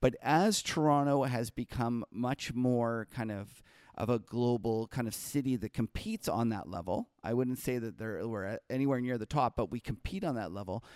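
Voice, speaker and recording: A man with a Canadian accent speaks in a plain, everyday voice at medium pitch and a moderate pace, with ordinary pitch variation, hardly any pauses, and a dry, close sound with no echo on a very clean recording with a silent background. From Canada. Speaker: market strategist. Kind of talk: casual interview conversation.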